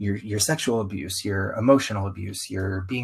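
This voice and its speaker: This man has an American accent. His delivery comes out somewhat breathy. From US South. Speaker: circus performer, podcast guest. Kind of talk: interview conversation. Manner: animated.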